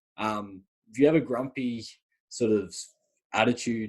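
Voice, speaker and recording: With an Australian accent, a man talks at a fairly low pitch with ordinary pitch variation over a quiet background. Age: 20s. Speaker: university student. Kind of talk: podcast interview. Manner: fast.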